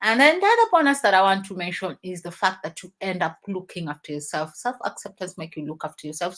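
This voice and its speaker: A woman speaks at a fairly quick pace and medium pitch, in a plain, everyday voice. The recording is very clean, with a silent background. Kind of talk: motivational talk on a live stream.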